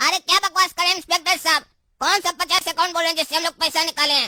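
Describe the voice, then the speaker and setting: In a cartoonish character voice pitched extremely high, the speaker talks at a very fast pace with a monotone, flat intonation. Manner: loud, sloganeering.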